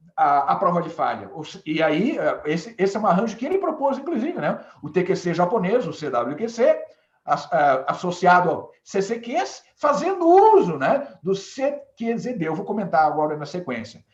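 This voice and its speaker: Speaking at a moderate pace, a man with a high pitch moves through very wide pitch swings. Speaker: management consultant. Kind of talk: webinar presentation. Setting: live web broadcast. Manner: hesitant, many fillers.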